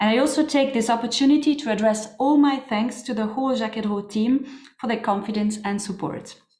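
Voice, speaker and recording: A woman's fairly high voice at a fairly quick pace, with ordinary pitch variation and audible room echo. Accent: French-Swiss. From French-speaking Switzerland, Neuchâtel. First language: French. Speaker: historian and museum curator. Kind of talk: lecture.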